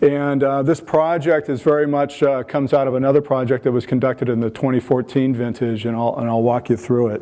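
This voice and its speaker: A man with an American accent and a dark, mellow tone talks at a medium pitch and a fairly quick pace, keeping his intonation fairly even and leaving hardly any pauses. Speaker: phenolic chemist, conference speaker. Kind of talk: lecture. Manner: frequent fillers, hesitant.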